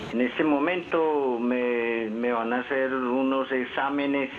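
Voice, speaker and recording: A man at a medium pitch and a very slow pace, with noticeable background noise. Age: 60s. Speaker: caller. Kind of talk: call-in question. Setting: phone call.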